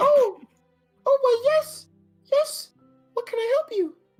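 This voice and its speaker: A man puts on a squeaky character voice at an extremely high pitch, speaking at a fairly slow pace over faint background music. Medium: actual play. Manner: gushing, exclamatory.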